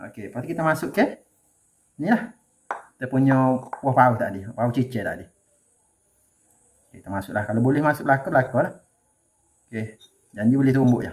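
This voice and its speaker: A man's somewhat breathy voice at a fairly quick pace, with long, frequent pauses, big swings in loudness and ordinary pitch variation. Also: medium pitch for a man. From Kelantan, Malaysia. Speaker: home cooking channel host. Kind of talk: cooking tutorial. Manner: casual, conversational.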